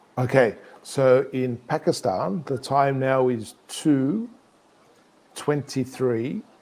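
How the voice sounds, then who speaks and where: At a very slow pace, a man with an Australian accent talks at medium pitch with ordinary pitch variation. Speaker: English teacher. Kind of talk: conversation class. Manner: slow, clear.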